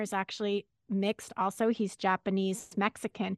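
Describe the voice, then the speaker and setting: An unremarkable speaking voice from a woman with an American accent, fairly high in pitch, at a moderate pace, dry and close with no echo against a quiet background. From Los Angeles, California. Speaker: radio journalist, co-host of a series. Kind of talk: interview conversation.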